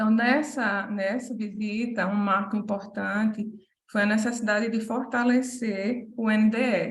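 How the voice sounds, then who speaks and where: A woman's fairly high, somewhat breathy voice in a Paraíba accent, monotone and flat, with audible room echo. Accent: Paraíba (northeastern Brazilian). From Paraíba, Brazil. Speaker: medical school academic manager. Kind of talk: conference presentation. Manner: hesitant, many fillers.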